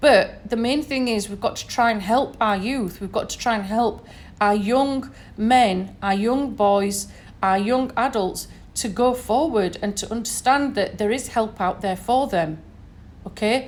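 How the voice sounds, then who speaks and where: Speaking at a fairly slow pace, a woman with a northern English accent uses a fairly high pitch and ordinary pitch variation. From northern England, Sheffield. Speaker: podcaster. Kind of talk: solo podcast monologue. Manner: conversational, many fillers.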